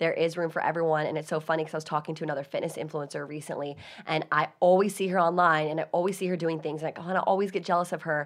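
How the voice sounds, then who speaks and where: Talking at a very fast pace with hardly any pauses, a woman with a fairly low pitch sounds animated against a quiet background. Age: 20s. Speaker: podcast host. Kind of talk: casual chat. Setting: studio.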